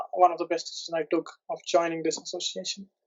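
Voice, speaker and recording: A man speaks with an Indian accent. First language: Indian language, not English. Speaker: PhD, product development analyst. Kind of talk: interview testimonial. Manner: halting, many fillers and restarts.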